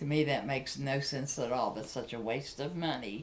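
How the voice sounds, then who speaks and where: A woman with a very deep, low pitch and ordinary pitch variation speaks amid audible room echo. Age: 60s. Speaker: Social Security recipient. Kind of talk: testimony. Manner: earnest, somewhat halting.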